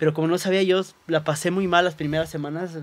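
The delivery is very fast, with fairly even intonation. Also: man. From Cuernavaca, Mexico; Mexico. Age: 30s. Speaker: physician and social media creator; social media creator. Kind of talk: testimony. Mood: earnest, recounting painful loss. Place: studio. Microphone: studio mic.

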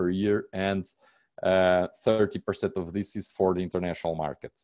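With a Portuguese accent, a man speaks in a very deep, low, dark and mellow voice with monotone, flat intonation, the sound dry with no echo over a quiet background. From Portugal. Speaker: real estate agent; presenter. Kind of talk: webinar presentation. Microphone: webcam.

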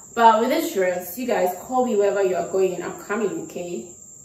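A woman is speaking. Room echo is audible. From Ghana. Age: 20s. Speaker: YouTuber. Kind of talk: casual talk to camera. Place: home room.

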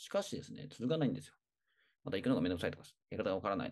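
A man's dark, mellow tone with vocal fry and very wide pitch swings. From Tokyo. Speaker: personal trainer. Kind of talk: tutorial. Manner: hesitant, many fillers.

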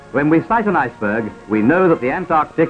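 Over music in the background, a man with a fairly high voice speaks at a fairly quick pace with very wide pitch swings. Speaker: newsreel commentator. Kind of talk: 1940s newsreel narration. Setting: vintage archival recording. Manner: brisk, humorous.

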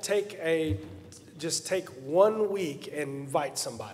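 Pitch variation is ordinary. The voice is a man's. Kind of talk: church announcements. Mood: warm, friendly. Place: church. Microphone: podium.

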